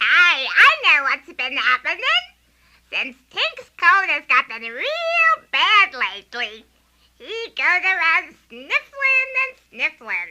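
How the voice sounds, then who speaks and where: In a put-on character voice, a female-sounding speaker talks very slowly with an extremely high, squeaky pitch that swings very widely. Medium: audio drama. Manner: lively, eager.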